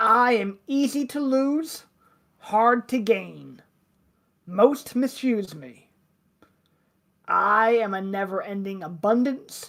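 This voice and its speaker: In a put-on character voice, a woman speaks gravelly and fairly high. She goes at a very slow pace with long, frequent pauses. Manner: loud.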